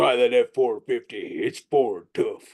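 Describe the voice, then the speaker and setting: A put-on character voice at a fairly slow pace. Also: man. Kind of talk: advertising voiceover. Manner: authoritative, trustworthy.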